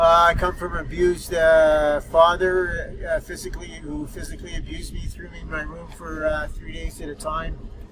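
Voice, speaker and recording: A man with a Canadian accent speaks with big swings in loudness amid noticeable background noise. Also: moderate pace, hardly any pauses. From Ottawa, Ontario, Canada. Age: 60s. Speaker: former inmate, tattoo artist. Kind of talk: interview testimony. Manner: halting, many fillers.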